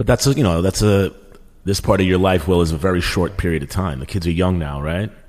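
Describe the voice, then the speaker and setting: Speaking at a very fast pace with a very deep, low pitch, a man with an American accent uses ordinary pitch variation. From Queens, New York. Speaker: podcast co-host and comedian. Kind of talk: casual chat.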